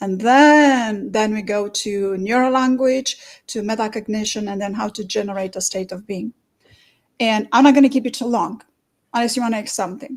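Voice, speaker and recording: This woman's pitch is fairly high, with ordinary variation. She speaks at a moderate pace. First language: non-English. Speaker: therapist and course teacher. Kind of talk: explaining own method in interview. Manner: halting with repetitions.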